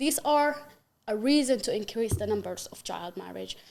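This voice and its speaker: With an Arabic accent, a woman speaks at a fairly high pitch and moderate pace with ordinary pitch variation. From Yemen. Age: 20s. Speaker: human rights activist. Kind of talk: podcast interview, personal testimony. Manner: halting, with frequent fillers.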